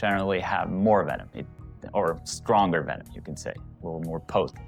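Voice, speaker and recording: A man with a very deep, low pitch talks while music plays in the background. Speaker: tarantula keeper, educational video host. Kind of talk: educational facts narration to camera. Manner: casual, hesitant.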